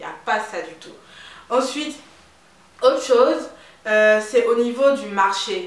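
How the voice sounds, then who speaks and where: Audible room echo and noticeable background noise surround a woman with a slight Ivorian accent, who speaks at a moderate pace with ordinary pitch variation. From Ivory Coast. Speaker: beauty and lifestyle vlogger. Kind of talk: casual vlog talk. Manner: animated.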